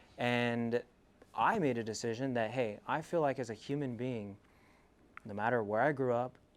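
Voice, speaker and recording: In a plain, everyday voice, a man with an American accent speaks at medium pitch and a moderate pace. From California, US (Selma, Central Valley). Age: 20s. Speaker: entrepreneur giving a talk. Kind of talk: motivational school presentation.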